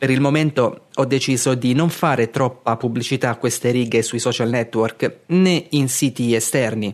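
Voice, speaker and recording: In an ordinary speaking voice, a man talks at a moderate pace and medium pitch with ordinary pitch variation, very even loudness and hardly any pauses. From Abruzzo, Italy (Castel di Sangro). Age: 30s. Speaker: podcast host and blogger. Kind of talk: reading aloud a blog article.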